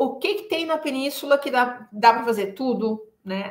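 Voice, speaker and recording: A woman's high-pitched voice with a bright, sharp tone at a fairly slow pace. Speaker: travel guide. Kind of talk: live stream talk. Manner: hesitant fillers.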